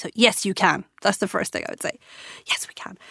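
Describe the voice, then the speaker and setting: A woman with an Irish accent on a very clean recording, silent background. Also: dry, close sound with no echo. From Ireland. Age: 40s. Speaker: entrepreneur. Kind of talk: interview. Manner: animated.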